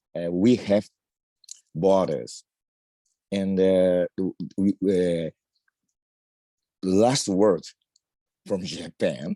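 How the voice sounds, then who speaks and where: A man with a non-native accent speaks at a very slow pace with long, frequent pauses, his very deep, low voice dark and mellow, his intonation fairly even, and the sound dry and close with no echo. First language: not English. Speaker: discussion participant. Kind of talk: casual comment. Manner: halting.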